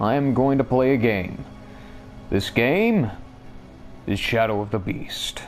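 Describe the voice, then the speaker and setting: Noticeable background noise sits behind a man's voice. He uses ordinary pitch variation and long, frequent pauses. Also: medium pitch for a man. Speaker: gamer. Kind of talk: let's play game commentary. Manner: mumbling.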